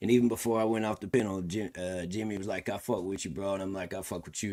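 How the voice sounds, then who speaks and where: Very fast and very deep, a man's low voice comes through on a very clean recording with a silent background. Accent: Southern US. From Tennessee, US South. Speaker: country rapper and streamer. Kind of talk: casual livestream commentary.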